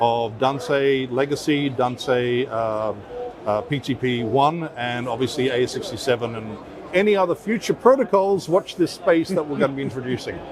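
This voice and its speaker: Through noticeable background noise, a man speaks at a moderate pace in a medium pitch with lively intonation. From Australia, Perth. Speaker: audio company general manager. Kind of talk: trade show interview. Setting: trade expo floor.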